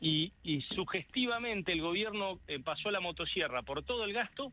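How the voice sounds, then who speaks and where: A man's high voice with lively intonation, very even loudness and a moderate pace. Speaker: politician. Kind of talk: radio interview. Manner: halting.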